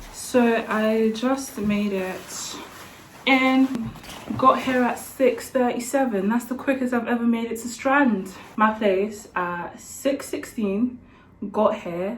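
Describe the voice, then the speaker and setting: Over noticeable background noise and audible room echo, a woman with fairly high pitch and a slight London accent talks at a very slow pace with ordinary pitch variation. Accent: slightly Essex-leaning London. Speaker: medical student and vlogger. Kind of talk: casual vlog talk. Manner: casual, chatty.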